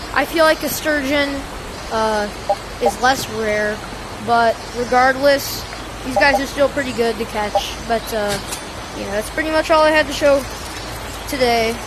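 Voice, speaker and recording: A woman's high voice at a fairly slow pace, with ordinary pitch movement, long and frequent pauses, and noticeable background noise. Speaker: gaming video creator. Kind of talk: gameplay tutorial. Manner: casual, many filler ums.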